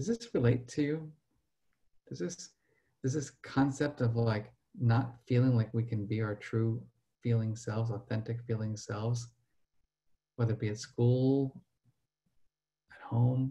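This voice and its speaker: A man with an American accent speaks fairly slowly at a medium pitch, leaving long, frequent pauses. His dark, mellow tone is somewhat breathy, with fairly even intonation. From New Jersey. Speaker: professor and emotional intelligence researcher; professor. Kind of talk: webinar presentation. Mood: earnest, personal.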